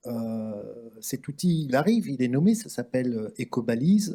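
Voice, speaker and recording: A man's dark, mellow tone. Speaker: round table moderator. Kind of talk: panel discussion moderation. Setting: conference with live interpretation. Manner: slow, deliberate for translators.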